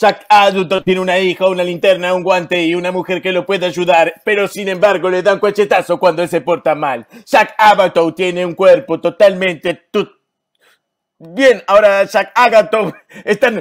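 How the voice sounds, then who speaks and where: Against a quiet background, a man talks at a high pitch with fairly even intonation. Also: moderate pace. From Argentina. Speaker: improv comedian. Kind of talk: improvised comedy narration. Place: home room. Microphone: video call.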